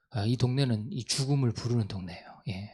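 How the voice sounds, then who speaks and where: Over a silent background on a very clean recording, a man talks at a moderate pace in a dark, mellow tone with ordinary pitch variation. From Gangwon Province, South Korea (Gangneung). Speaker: missionary. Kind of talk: mission report talk.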